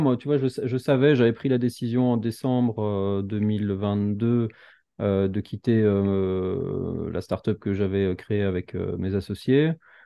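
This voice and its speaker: A man speaks very slowly at a fairly low pitch, his pitch varying in an ordinary way. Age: 30s. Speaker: entrepreneur and YouTuber. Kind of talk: casual chat.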